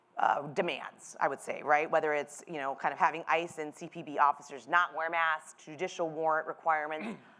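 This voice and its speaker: A woman with a Midwestern accent talks fairly quickly in a very deep, low voice with a bright, sharp tone, monotone intonation and big swings in loudness. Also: hardly any pauses. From US Midwest. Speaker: political journalist moderating a panel. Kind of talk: live panel moderation.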